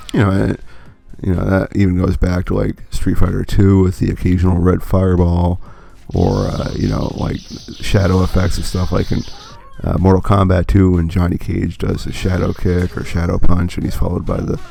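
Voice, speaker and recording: A man with a very deep, low voice talks at a moderate pace and with fairly even intonation. Noticeable background noise runs under the recording. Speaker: gaming commentator. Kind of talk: let's play commentary. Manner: casual, filler-heavy.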